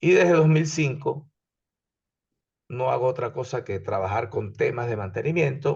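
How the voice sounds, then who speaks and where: A somewhat breathy man speaks at a moderate pace with ordinary pitch variation against a quiet background. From Venezuela. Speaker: engineering instructor. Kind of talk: lecture.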